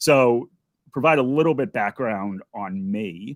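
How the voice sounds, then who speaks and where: This is a man with a medium pitch and a plain, everyday voice. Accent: American. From United States. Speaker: investment educator. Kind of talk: interview.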